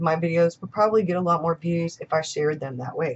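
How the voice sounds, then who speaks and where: Over light background noise, a woman's fairly low, somewhat breathy voice shows ordinary pitch variation. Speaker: journaling and planner YouTuber. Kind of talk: casual vlog monologue. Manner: chatty. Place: home room. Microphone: webcam.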